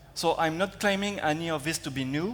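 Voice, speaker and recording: A man with a French accent speaks at a moderate pace in a fairly high voice, his pitch varying in an ordinary way. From France. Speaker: security researcher. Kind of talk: conference talk. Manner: hesitant, many fillers.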